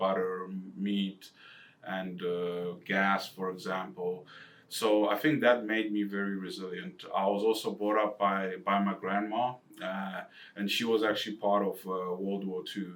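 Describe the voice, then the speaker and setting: In an Eastern European accent, a man with a fairly low pitch speaks at a fairly slow pace with fairly even intonation. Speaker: financial advisor. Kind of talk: casual chat.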